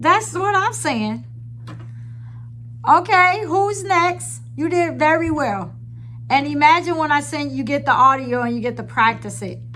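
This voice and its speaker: A woman speaking at a fairly slow pace with long, frequent pauses, amid audible room echo and noticeable background noise. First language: Hebrew. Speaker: spiritual teacher. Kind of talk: online class.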